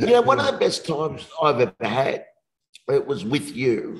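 A man is talking here. His accent is Australian. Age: 50s. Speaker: motivational speaker. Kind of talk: casual interview.

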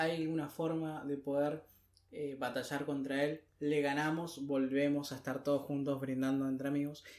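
A man's fairly high voice stays flat and monotone as he talks at a medium speed. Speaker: podcast co-host. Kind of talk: casual chat.

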